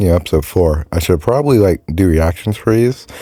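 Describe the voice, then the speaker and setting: There is noticeable background noise. A man speaks in a very deep, low pitch with lively intonation. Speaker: YouTube commentator. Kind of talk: casual video review. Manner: hesitant, filler words.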